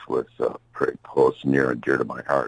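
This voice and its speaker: Speaking in an American accent, a man keeps a moderate pace. The sound is dry and close with no echo, though there is noticeable background noise. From US Midwest, Chicago. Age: 70s. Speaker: blues musician and songwriter. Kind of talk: interview. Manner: halting, many fillers.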